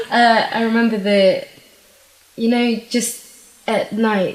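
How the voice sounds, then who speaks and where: Noticeable background noise sits behind a woman whose intonation is monotone and flat. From Zimbabwe and UK. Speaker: beauty pageant winner. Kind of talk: interview.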